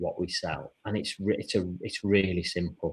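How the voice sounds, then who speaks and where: The man's voice is somewhat breathy. It rests at a fairly low pitch. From UK. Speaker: online seller, show host. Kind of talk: live show casual chat.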